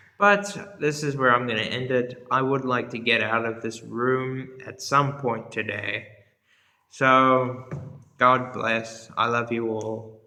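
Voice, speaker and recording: Over audible room echo, a man speaks at a very slow pace with medium pitch and ordinary pitch variation. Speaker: history youtuber. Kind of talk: casual monologue to camera. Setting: indoors in a room. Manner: casual, filler-heavy.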